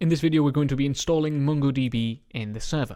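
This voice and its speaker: A man speaks at a very fast pace in a dark, mellow tone. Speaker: programming course instructor. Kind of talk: tutorial.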